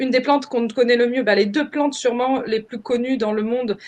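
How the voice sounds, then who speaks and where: High pitch and fairly even intonation from a woman. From France. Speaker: permaculture trainer. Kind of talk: webinar presentation. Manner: halting, many fillers.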